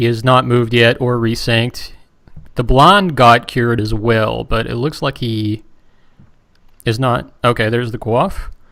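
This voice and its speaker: In a West Virginian accent, a man speaks at a medium pitch with a bright, sharp tone. His pace is fairly slow, with fairly even intonation and long, frequent pauses. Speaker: game broadcast commentator. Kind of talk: live commentary.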